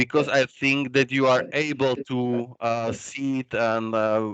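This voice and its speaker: Fairly slow, flat, monotone speech from a man at medium pitch. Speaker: researcher presenting at a workshop. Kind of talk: conference presentation. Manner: hesitant, many fillers.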